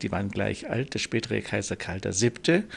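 Speaking at a fairly slow pace, a man with a slight Bavarian accent talks at medium pitch. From Lower Bavaria (Landshut), raised in Munich. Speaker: nobleman. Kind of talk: interview.

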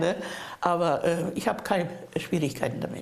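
A woman talks at a moderate pace, and audible room echo can be heard. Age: old. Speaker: hospice resident. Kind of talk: interview. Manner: halting.

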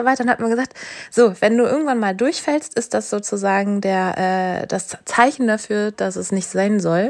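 At a fairly quick pace, a woman with a medium pitch talks using ordinary pitch variation while noticeable background noise plays behind her. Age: 30s. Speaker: doctor. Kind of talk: coaching session.

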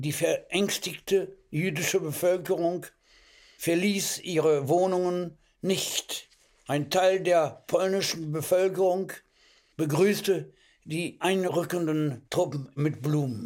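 At a very slow pace, a man speaks at a high pitch with fairly even intonation. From Hamburg, Germany, later French Alps. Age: 80s+. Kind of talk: reading aloud.

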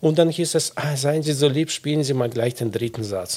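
This man's voice is somewhat breathy. He speaks with a Russian accent. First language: Russian (speaking German). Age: 40s. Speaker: violinist, concertmaster. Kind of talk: casual interview.

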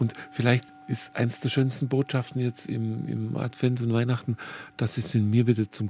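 A man's somewhat breathy voice, dark and mellow in tone, moves at a fairly slow pace. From Bavarian Swabia. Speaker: archabbot and pastor. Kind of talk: radio conversation.

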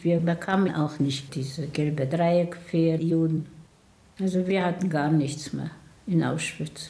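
Very slow and somewhat breathy, a woman's fairly low, dark, mellow voice keeps fairly even intonation amid audible room echo. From Poland (Tomaszów near Łódź), later Israel. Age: 80s+. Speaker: Holocaust survivor. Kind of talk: testimony.

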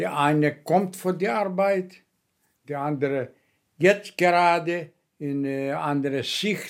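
On a very clean recording with a silent background, a man with a Greek accent speaks at a very slow pace, his fairly high pitch showing ordinary variation. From Greece (Kefalonia). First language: Greek (speaking German). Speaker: former guest worker. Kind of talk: personal testimony. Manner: halting.

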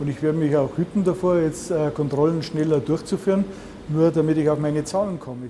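With clearly audible noise behind him, this man talks at a medium tempo, his pitch fairly high and his intonation fairly level. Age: 60s. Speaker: food safety inspector. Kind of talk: on-the-job interview.

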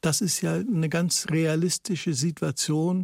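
A man speaks very slowly in a fairly high voice, recorded very cleanly with a dry, close sound, no echo and a silent background. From Netherlands, then Germany from age six. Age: 70s. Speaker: writer and political essayist. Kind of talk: radio interview.

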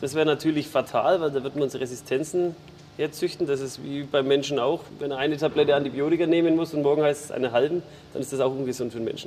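A man with a fairly high pitch talks at a very fast pace, his intonation fairly even. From Franconia, Bavaria. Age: young. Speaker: farmer. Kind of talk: interview.

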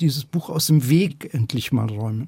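A somewhat breathy man speaks at a moderate pace. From Upper Bavaria, Germany (Schongau). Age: 60s. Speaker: novelist. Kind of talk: interview.

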